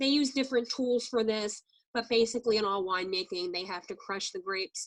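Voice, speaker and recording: Over a quiet background, a woman with a plain, everyday voice talks at a fairly quick pace, her pitch fairly high and her intonation lively. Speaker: wine tasting trainer. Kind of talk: training presentation. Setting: video call.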